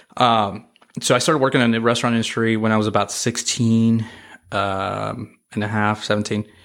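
At a moderate pace, a man speaks with flat, monotone intonation. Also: medium pitch for a man. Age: 30s. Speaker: restaurant industry leader. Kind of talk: casual chat.

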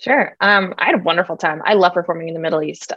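This is a woman speaking. She has a General American accent. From United States, Iraqi parents. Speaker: comedian. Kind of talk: interview. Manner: animated.

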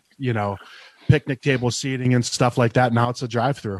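A man with an American accent and a normal speaking voice, medium pitch, ordinary pitch variation and a fairly quick pace, in a dry, close sound with no echo. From Ohio, between Cleveland and Pittsburgh. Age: 40s. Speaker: craft beer media creator. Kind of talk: casual chat.

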